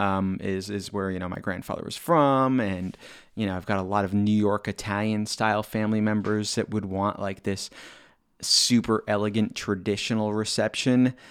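Recorded very cleanly against a silent background, a man with an unremarkable speaking voice talks at a moderate pace and fairly low pitch. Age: 40s. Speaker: DJ and podcast host. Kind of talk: casual solo monologue. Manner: conversational with filler words.

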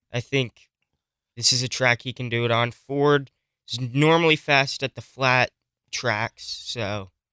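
In a dry, close sound with no echo, a man with a bright, sharp tone speaks at medium pitch, a fairly slow pace and fairly even intonation. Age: young. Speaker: podcast host. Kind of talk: casual chat.

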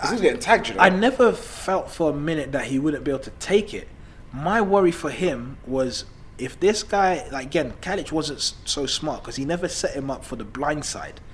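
A fairly high-pitched man at a moderate pace, with lively intonation, big swings in loudness and noticeable background noise. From Ghanaian heritage. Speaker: boxing podcast co-host. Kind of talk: casual chat.

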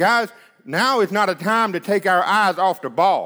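A man projects a raised, high voice with a bright, sharp tone. He keeps a moderate pace and ordinary pitch variation. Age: 30s. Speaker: preacher. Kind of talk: sermon. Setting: church.

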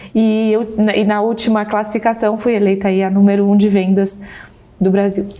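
In a room with audible echo and noticeable background noise, a woman of medium pitch speaks at a moderate pace in a monotone, flat intonation, her loudness very even. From Brazil. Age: 30s. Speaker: insurance saleswoman and sales mentor. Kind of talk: podcast interview.

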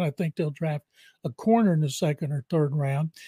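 A man with an American accent, fairly high in pitch and dark and mellow in tone, at a moderate pace, in a very clean, dry, close recording with no echo and a silent background. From Texas (Waco). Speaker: veteran sportswriter and radio analyst. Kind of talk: podcast interview.

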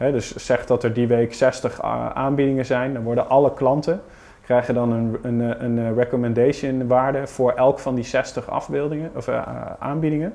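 A man talks at a moderate pace and medium pitch with fairly even intonation over noticeable background noise. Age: 30s. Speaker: digital marketing specialist. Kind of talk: podcast interview.

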